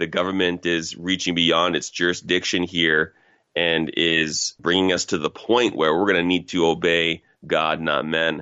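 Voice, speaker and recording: A man with a Canadian accent speaks in a very deep, low pitch with fairly even intonation. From Canada, Toronto (Scarborough, Ontario). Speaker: pastor. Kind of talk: interview.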